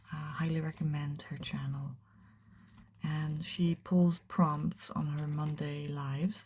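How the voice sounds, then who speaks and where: The pace is fairly slow. The speaker has a Dutch accent. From Netherlands. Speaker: art youtuber. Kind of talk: casual chat. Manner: casual, hesitant.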